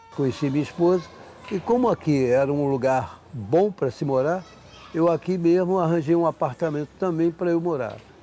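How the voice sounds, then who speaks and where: This man's voice sits at a fairly high pitch. There is noticeable background noise. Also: ordinary pitch variation, moderate pace. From Rio de Janeiro, Brazil. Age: 70s. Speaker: longtime resident of housing complex. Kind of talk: documentary interview.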